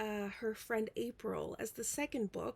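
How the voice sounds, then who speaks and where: Speaking at a fairly slow pace, a woman talks with a non-native accent. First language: not English. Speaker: book vlogger. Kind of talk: casual chat. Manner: rambling with many fillers.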